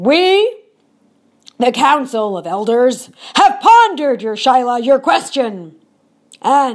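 In a put-on character voice, a woman speaks high with very wide pitch swings, at a fairly slow pace broken by long, frequent pauses. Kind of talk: mock-solemn folktale decree. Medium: read story. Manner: solemn, ceremonious.

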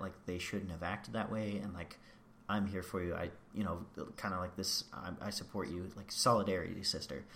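Audible room echo surrounds a man speaking at a fairly low pitch and a moderate pace. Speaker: podcast co-host recapping a reality TV show. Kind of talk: casual chat. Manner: animated.

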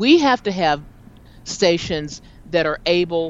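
A woman with an ordinary speaking voice talks at a fairly slow pace in a fairly low pitch. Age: 50s. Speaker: talk show host and jazz singer. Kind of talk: casual chat.

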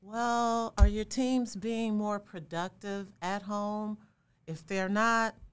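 A plain, everyday voice belongs to a woman at medium pitch with an American accent. She speaks at a fairly slow pace in a very clean recording with a silent background. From Chicago, South Side. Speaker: diversity and inclusion consultant. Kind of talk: interview conversation.

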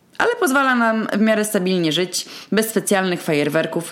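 A woman talks at a moderate pace with a medium pitch. Her intonation is lively. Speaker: podcast host and small eatery owner. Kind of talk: solo monologue. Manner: tense and slightly higher-pitched at the start.

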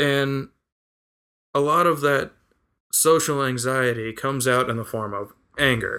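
An American-accented man with a bright, sharp tone and fairly even intonation, at a fairly slow pace with long, frequent pauses. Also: medium pitch for a man, very clean recording, silent background. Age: 30s. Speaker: podcast guest. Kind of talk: casual chat.

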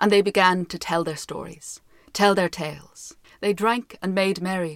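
Intonation here stays fairly even. The reading voice sounds unforced.

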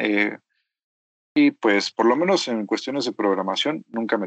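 The sound is dry and close with no echo as a man speaks at a medium pitch and a moderate pace with ordinary pitch variation. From Mexico. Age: 20s. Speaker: software developer. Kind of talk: interview. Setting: remote call.

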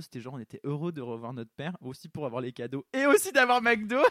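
At a fairly quick pace, a man talks in a dry, close sound with no echo. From southern France, small village. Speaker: actor and fashion model. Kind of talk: casual interview chat. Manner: halting, many hesitations.

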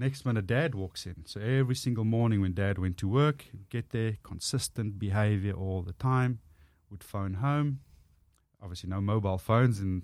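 A man with a strong Afrikaans South African accent, fairly low in pitch and fairly quick, in a very clean recording with a silent background. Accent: thick Afrikaans South African English. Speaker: motivational speaker and former rugby player. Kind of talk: casual interview chat.

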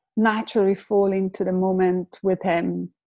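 A woman with an Italian accent. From Italy, Lake Como. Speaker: complementary therapist. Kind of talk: personal testimony in interview.

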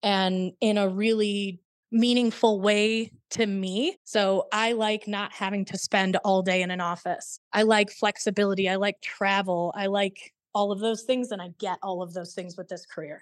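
A woman with an American accent has an unremarkable speaking voice of medium pitch, fairly even intonation and hardly any pauses, the sound dry and close with no echo. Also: moderate pace, very clean recording, silent background. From small-town Illinois. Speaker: insurance executive. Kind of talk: casual interview.

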